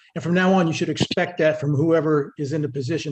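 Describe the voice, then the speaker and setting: Somewhat breathy and fairly high, a man's voice moves at a very fast pace with fairly even intonation. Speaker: town official presenting finances. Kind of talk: public meeting presentation.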